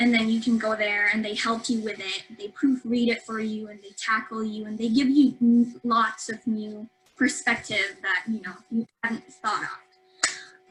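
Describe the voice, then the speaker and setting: A woman with a fairly high voice speaks at a fairly slow pace with hardly any pauses, her loudness swinging widely over background music. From Philippines, Davao City. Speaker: university student. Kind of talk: webinar talk answering host questions. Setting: online webinar. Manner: halting, with many fillers and self-corrections.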